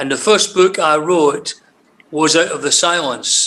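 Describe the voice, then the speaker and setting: Here a man speaks at a fairly high pitch with ordinary pitch variation. His pace is fairly slow. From Scotland. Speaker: crime novelist. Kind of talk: interview. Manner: halting.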